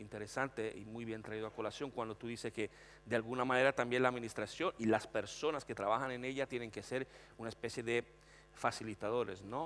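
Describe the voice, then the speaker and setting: The man's voice sits at a medium pitch, and his intonation stays fairly even. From Italy, Florence. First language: Italian (speaking Spanish). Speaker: panelist on technology and HR. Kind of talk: panel discussion.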